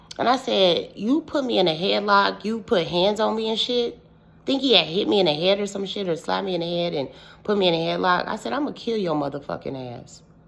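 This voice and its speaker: A woman at a moderate pace, with an animated tone, vocal fry and very wide pitch swings. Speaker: witch, storytelling vlogger. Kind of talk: casual storytelling vlog.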